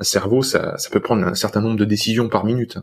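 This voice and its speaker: A fairly low-pitched male voice is heard over a quiet background. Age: 30s. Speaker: antifragility podcaster and coach; antifragility podcaster, coach. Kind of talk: casual chat. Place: home room. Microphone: studio mic.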